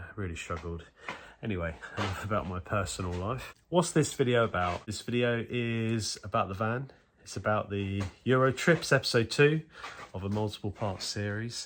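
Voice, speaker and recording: At a moderate pace, the speaker uses ordinary pitch variation in a British accent. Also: man, fairly low pitch for a man. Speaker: car mechanic vlogger. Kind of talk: casual vlog. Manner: hesitant, filler-heavy.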